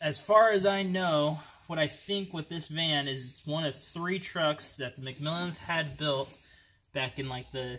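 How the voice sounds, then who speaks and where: A man at a fairly slow pace, bright and sharp in tone, with ordinary pitch variation and light background noise. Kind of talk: casual vlog chat. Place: garage. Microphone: phone near.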